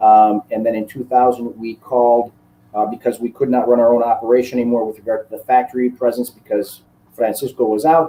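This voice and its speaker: A man at a medium pitch, fairly quick pace and monotone, flat intonation, with a dark, mellow tone. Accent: Chicago. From US Midwest, Chicago. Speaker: cigar maker and master blender. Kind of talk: interview. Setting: live online broadcast.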